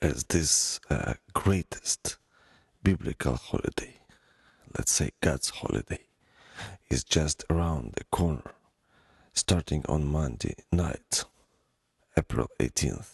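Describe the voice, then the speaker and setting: The voice has vocal fry and moves at a very slow pace. Long, frequent pauses come up, and the pitch varies in an ordinary way. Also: man, very deep, low pitch for a man. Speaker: podcast host. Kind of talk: solo podcast monologue.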